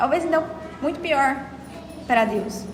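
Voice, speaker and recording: Pitched high, a woman speaks with lively intonation, and audible room echo surrounds her voice. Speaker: study group lecturer. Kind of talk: lecture. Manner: fast; halting.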